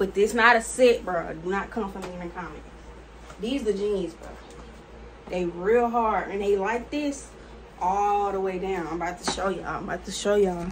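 Light background noise sits behind a woman speaking at a moderate pace. She takes long, frequent pauses, and her loudness swings widely. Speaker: fashion haul creator. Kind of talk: casual vlog chat. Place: home room. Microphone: phone near.

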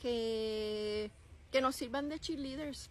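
Over light background noise, a woman with a Puerto Rican accent speaks at a fairly high pitch with ordinary pitch variation. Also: dry sound with no echo. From Puerto Rico. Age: 50s. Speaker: vlogger. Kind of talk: casual vlog talk to camera. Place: open country. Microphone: phone near.

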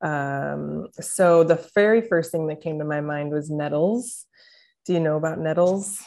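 A woman with a Midwestern American accent talks at a fairly slow pace, her pitch very deep and low. Her pitch variation is ordinary, and the background is quiet. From St. Louis, Missouri; Missouri. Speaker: naturopathic doctor; interview guest. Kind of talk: casual interview. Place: home room. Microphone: video call.

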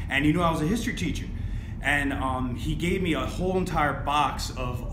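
A man's speech moves at a moderate pace, with noticeable background noise behind it. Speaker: guest selling items. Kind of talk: casual chat. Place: home room.

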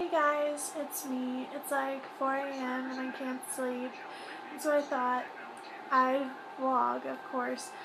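A woman talks fairly slowly, her intonation fairly even, while clear background noise is heard. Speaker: vlogger. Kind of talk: casual vlog chat. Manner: sleepy, low late-night voice. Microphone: phone near.

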